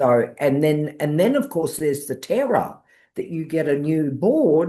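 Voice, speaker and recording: Against a quiet background, a woman with a New Zealand accent speaks at a moderate pace in a very deep, low pitch and a dark, mellow tone, her pitch swinging very widely. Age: 70s. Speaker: wildlife carer. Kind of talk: interview.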